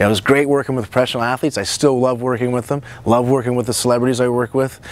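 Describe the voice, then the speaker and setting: Male speech of medium pitch, noticeable background noise underneath. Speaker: nutrition coach and show host. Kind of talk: casual monologue to camera. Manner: fast; animated.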